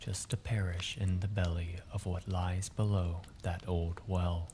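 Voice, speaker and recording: A man with a very deep, low pitch, a relaxed, calm tone, monotone, flat intonation, very even loudness, and a fairly slow pace. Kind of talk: sleep story.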